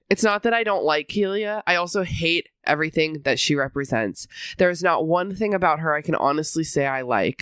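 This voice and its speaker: On a very clean recording with a silent background, a woman uses a raspy, fairly low put-on character voice with lively intonation at a fairly quick pace. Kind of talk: deadpan. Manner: bored.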